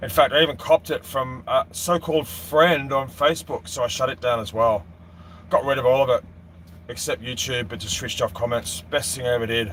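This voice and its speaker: This man has an Australian accent and a medium pitch. He talks at a fairly quick pace with lively intonation and vocal fry. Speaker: boating vlogger. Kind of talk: live stream Q&A chat. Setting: live stream.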